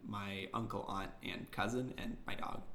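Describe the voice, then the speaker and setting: Audible room echo hangs on a man's speaking voice. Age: 20s. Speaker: podcast co-host. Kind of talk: casual chat.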